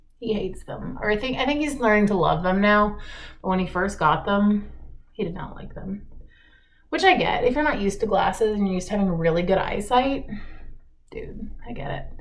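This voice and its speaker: Somewhat breathy and with lively intonation, a woman speaks at a fairly quick pace amid audible room echo. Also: medium pitch for a woman. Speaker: makeup vlogger. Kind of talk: get ready with me chat. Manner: casual, chatty.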